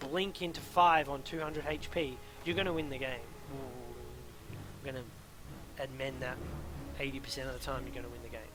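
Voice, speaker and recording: Ordinary pitch variation, with audible room echo. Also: man. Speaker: gaming coach. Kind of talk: replay coaching commentary. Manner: fast; hesitant with fillers.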